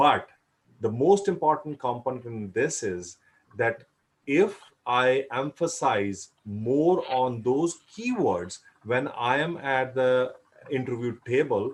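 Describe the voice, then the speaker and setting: A man in a Punjabi accent speaks very slowly at a medium pitch, with lively intonation. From India, Punjab. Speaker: career advice speaker. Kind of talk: panel discussion.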